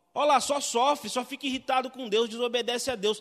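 A man at an extremely high pitch, with ordinary pitch variation and a fairly quick pace. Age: 30s. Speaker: pastor. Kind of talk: sermon.

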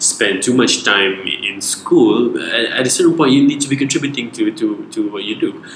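Background noise is clearly audible. The delivery keeps a moderate tempo. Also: man. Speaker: podcast guest. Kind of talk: casual chat. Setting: home studio. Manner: mumbly.

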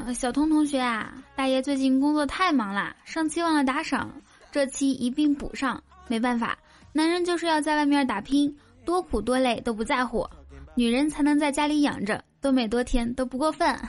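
Her loudness very even, a woman speaks at a high pitch with ordinary pitch variation. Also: moderate pace. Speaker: comedy podcast host. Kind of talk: joke telling; casual chat. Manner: animated.

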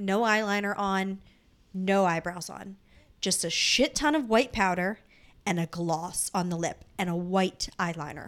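A woman with an ordinary speaking voice and an American accent, medium in pitch and fairly slow in pace, in a very clean recording with a silent background. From Delaware County, Pennsylvania (Philadelphia area). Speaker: podcast co-host. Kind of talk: casual chat. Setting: home recording with fan running.

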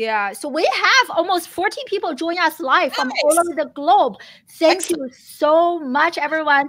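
With an enthusiastic, animated tone, a woman speaks at an extremely high pitch that swings very widely. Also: moderate pace. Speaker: live stream host. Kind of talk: live-streamed interview, upbeat. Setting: live stream. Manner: enthusiastic, animated, laughs often.

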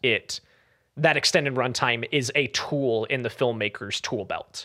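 A man's medium-pitched voice, bright and sharp in tone, with fairly even intonation at a fairly slow pace, in a dry, close sound with no echo. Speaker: podcast host. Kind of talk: casual chat.

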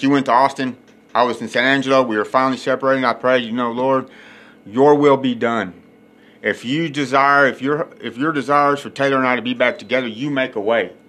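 In a Texan accent, a man speaks fairly quickly at a medium pitch, his tone bright and sharp and his intonation fairly even. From West Texas. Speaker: podcast host, recovering addict. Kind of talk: recovery testimony.

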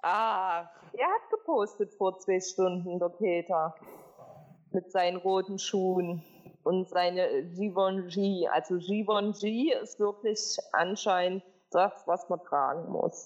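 A woman speaks very slowly at a medium pitch, with very even loudness and fairly even intonation. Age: 20s. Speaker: podcast host. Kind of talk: casual chat. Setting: studio.

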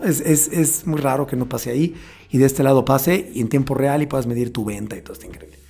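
A man at a very fast pace and fairly high pitch, with big swings in loudness and noticeable background noise. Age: 40s. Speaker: events bar business owner. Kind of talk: casual interview.

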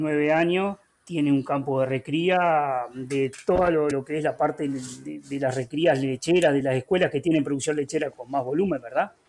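The speaker has a Uruguayan accent. Intonation is fairly even throughout. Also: man. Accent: rioplatense Uruguayan Spanish. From Uruguay, Florida department (Villa Cardal). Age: 50s. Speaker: agricultural teacher. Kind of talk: interview. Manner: halting with fillers.

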